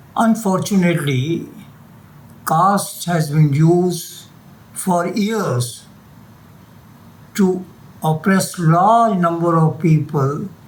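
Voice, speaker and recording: At a very slow pace with long, frequent pauses, a man speaks in a high pitch with ordinary pitch variation and very even loudness, over audible room echo. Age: 80s+. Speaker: retired doctor. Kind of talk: interview; reading aloud.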